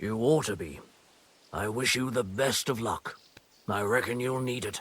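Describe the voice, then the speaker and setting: Using a put-on character voice, a man sounds raspy at a medium pitch and a moderate pace. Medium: video game. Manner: blunt, folksy.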